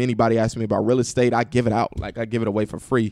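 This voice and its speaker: At a very fast pace, a man with an American accent speaks in a fairly low, monotone, flat voice. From Indianapolis, US Midwest. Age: 20s. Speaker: real estate investor and entrepreneur. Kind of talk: podcast interview. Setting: studio.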